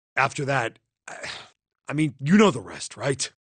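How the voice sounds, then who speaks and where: Putting on a raspy character voice, a man talks at a moderate pace and medium pitch with lively intonation. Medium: video game. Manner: casual, blunt.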